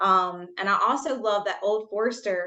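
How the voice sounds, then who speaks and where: A woman with a Southern US accent, medium in pitch, bright and sharp in tone, at a moderate pace with ordinary pitch variation. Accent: Southern US, noticeable. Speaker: debut novelist. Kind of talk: interview.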